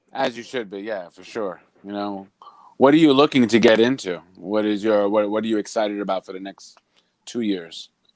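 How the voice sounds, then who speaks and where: In an unremarkable speaking voice, a man talks at a moderate pace with a fairly low pitch, ordinary pitch variation and big swings in loudness. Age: 40s. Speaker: live stream co-host. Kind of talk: casual chat. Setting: live stream.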